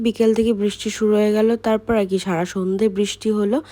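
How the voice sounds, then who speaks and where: The speaker is a woman with a medium pitch. Her tone is dark and mellow. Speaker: vlogger. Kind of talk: vlog narration.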